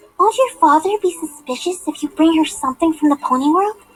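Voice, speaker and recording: Female-sounding and squeaky, this put-on character voice sits at an extremely high pitch and moves at a fairly quick pace. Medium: audio drama. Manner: soft, hesitant.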